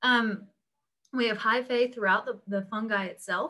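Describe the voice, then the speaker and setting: Over a quiet background, a woman with a bright, sharp tone talks at a moderate pace. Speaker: instructor. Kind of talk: lecture. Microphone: webcam.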